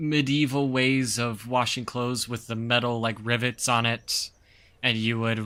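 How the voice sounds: A natural reading voice carries the text. Its intonation remains fairly even.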